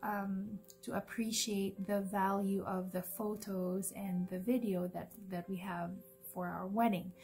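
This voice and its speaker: With music playing behind her, a woman with a Cebuano accent talks at a fairly slow pace in a medium pitch, her intonation monotone and flat. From Philippines (Cebu). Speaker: vlogger. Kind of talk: casual vlog talk. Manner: hesitant, many fillers.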